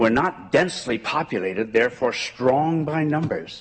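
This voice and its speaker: This man has an Ontario accent and a fairly high pitch. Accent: rural Ontario Canadian. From rural southwestern Ontario, Canada. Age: 80s+. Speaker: community member speaking at a school board meeting. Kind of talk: public address at a meeting. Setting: school board meeting with audience. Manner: earnest, with some halting repetitions.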